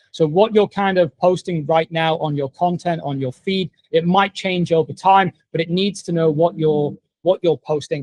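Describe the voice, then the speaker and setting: A man in an English accent, high-pitched, with ordinary pitch variation and a moderate pace, dry and close with no echo. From England. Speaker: online marketing coach. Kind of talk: tutorial. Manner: casual, conversational.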